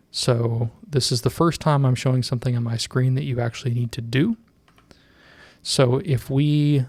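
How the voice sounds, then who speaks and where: A man with a plain, everyday voice speaks fairly slowly at a medium pitch with fairly even intonation, and the sound is dry and close with no echo. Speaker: tech tutorial youtuber. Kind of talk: tutorial. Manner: casual with many fillers.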